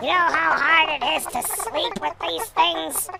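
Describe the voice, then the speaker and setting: This put-on character voice sits fairly high, moves at a fairly slow pace and swings very widely in pitch. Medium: read story. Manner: indignant, complaining.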